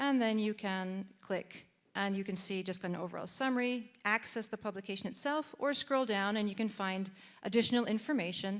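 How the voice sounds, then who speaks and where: A woman with a Canadian accent speaks at medium pitch with fairly even intonation. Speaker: database presenter at a policy event. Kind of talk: software demonstration. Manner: halting, many fillers and repeats.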